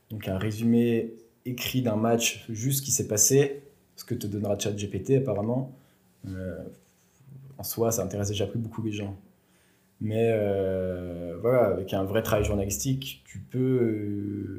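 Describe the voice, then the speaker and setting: The voice has a dark, mellow tone and fairly even intonation, moving at a very slow pace with long, frequent pauses amid audible room echo. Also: man, fairly low pitch for a man. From France, Bourg-en-Bresse area. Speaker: sports journalist. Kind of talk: interview.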